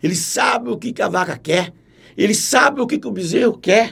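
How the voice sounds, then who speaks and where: A man talks in a high-pitched voice with lively intonation. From Brazil, Minas Gerais, raised in Paraná. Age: 60s. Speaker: cattle farm manager. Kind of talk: casual interview chat.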